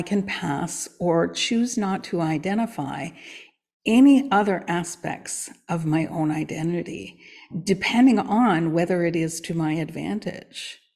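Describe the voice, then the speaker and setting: A woman with a fairly low pitch and ordinary pitch variation speaks at a fairly slow pace in an ordinary speaking voice. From Canada. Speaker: coach and podcast co-host. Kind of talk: casual chat.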